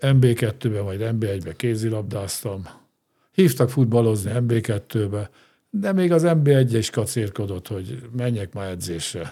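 A man's medium-pitched, somewhat breathy voice with a dark, mellow tone, lively intonation and a very slow pace, on a very clean recording with a silent background. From Hungary, grew up in Ózd. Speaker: former sports club president and steelworks executive. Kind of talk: interview conversation. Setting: studio.

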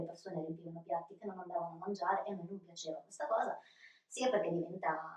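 A woman at a medium pitch with fairly even intonation and a very fast pace. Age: 40s. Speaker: bar and restaurant owner. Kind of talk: interview.

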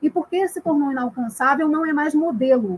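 A woman speaks at a moderate pace with a high pitch and lively intonation. The sound is dry and close, with no echo. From Rio de Janeiro. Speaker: history graduate, film buff. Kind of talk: film discussion, analytical. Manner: formal.

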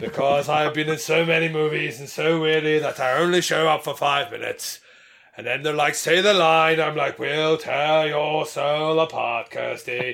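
Speaking at a moderate pace, a man uses a put-on character voice at a fairly high pitch. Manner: bored, weary.

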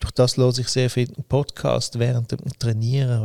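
A man speaks at a moderate pace in a dark, mellow tone that is somewhat breathy. The sound is dry and close, with no echo. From Switzerland, Winterthur. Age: 60s. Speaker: company founder. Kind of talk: interview. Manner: halting, many fillers.

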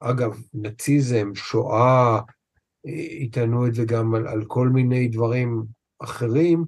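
Speaking very slowly, a man has a somewhat breathy voice. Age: 50s. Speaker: trauma therapist. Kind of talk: interview conversation.

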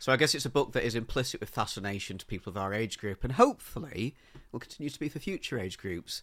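Talking at a very fast pace, a man with an English accent uses a medium pitch, lively intonation and big swings in loudness. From England. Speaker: book podcast co-host. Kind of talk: casual chat.

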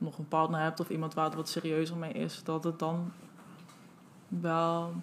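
A woman with a fairly low-pitched voice speaks at a moderate pace. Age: 20s. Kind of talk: interview. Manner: hesitant.

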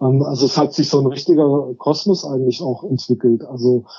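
Fairly even in intonation, this man's voice sits at a fairly high pitch. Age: 50s. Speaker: social worker and cargo bike project co-founder. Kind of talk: interview. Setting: phone call. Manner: hesitant, many filler sounds.

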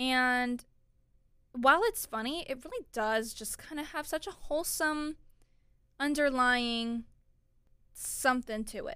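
In a raised, projected voice with an American accent, the speaker has a bright, sharp tone and big swings in loudness. The pace is fairly slow, with long, frequent pauses. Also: woman, high pitch for a woman, ordinary pitch variation. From Florida. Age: 20s. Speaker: podcast host. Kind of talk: casual solo talk.

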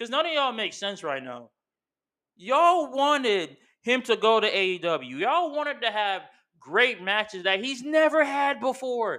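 A furious, raised and projected voice with a bright, sharp tone at a moderate pace, on a very clean recording with a silent background. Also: man, extremely high pitch for a man, lively intonation. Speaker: wrestling podcast host. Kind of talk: angry rant, profane wrestling fan tirade. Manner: furious, loud, punchy and combative, scolding fans; casual, chatty, slangy.

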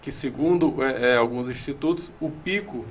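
A man with a normal speaking voice talks in a fairly high pitch at a fairly slow pace. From Ceará, Brazil (Iguatu). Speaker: meteorology professor. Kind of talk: interview.

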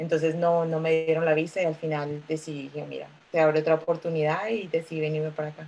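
A woman's very deep, low voice with a dark, mellow tone, very fast with hardly any pauses, in a monotone, flat intonation. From Colombia, Bogotá. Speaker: lawyer, migrant. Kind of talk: casual chat.

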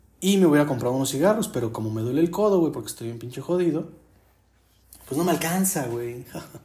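Speaking at a very fast pace, a man with a fairly high pitch uses lively intonation in a dark, mellow, somewhat breathy tone. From Mexico City. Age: 20s. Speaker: podcaster. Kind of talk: casual monologue. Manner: animated.

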